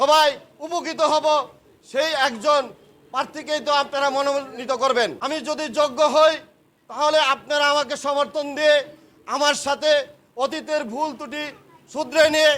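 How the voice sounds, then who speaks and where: In an extremely high voice, a man speaks with a bright, sharp tone and monotone, flat intonation. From Bangladesh, Rupganj, Narayanganj. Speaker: politician. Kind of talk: campaign speech.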